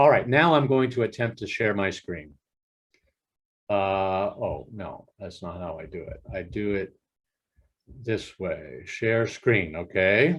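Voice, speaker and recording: This man has an American accent and a fairly low pitch with lively intonation. He speaks at a very slow pace, with long, frequent pauses and big swings in loudness. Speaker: professor. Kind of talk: lecture. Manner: halting.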